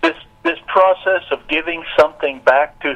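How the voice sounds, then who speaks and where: A man's fairly slow speech comes through over clearly audible background noise. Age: 60s. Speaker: nonprofit director and businessman. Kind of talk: radio interview.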